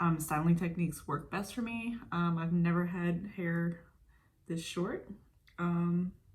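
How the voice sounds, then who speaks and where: Her voice is somewhat breathy and fairly low in pitch for a woman. She talks at a fairly slow pace with fairly even intonation. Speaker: beauty vlogger. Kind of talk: casual chat. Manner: monotone.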